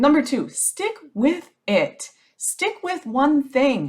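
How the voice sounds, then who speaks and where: A woman's voice with very wide pitch swings. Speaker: business strategist podcast host. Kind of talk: solo podcast advice monologue. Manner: casual, conversational.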